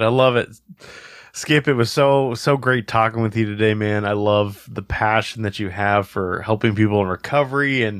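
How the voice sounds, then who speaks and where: On a very clean recording with a silent background, a man with a plain, everyday voice and fairly low pitch talks at a fairly quick pace with fairly even intonation. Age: 30s. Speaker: podcast host. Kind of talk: casual interview.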